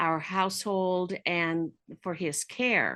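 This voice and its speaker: Over a quiet background, a woman speaks at a very slow pace and medium pitch. Her tone is bright and sharp. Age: 60s. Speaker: counselor and author. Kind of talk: personal testimony.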